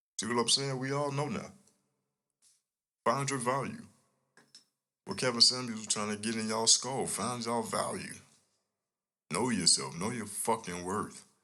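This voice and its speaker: A man with a bright, sharp tone speaks at a moderate pace with ordinary pitch variation and long, frequent pauses, his voice echoing audibly in the room. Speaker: podcast host. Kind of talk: casual monologue. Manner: low, quiet delivery; animated.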